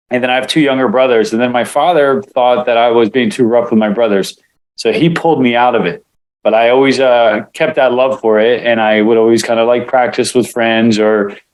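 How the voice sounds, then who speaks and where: The delivery moves at a fairly quick pace, with fairly even intonation and very even loudness throughout. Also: man, medium pitch for a man. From Israel, moved to US at seven. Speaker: martial arts instructor and acupuncturist. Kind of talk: interview. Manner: casual with many fillers.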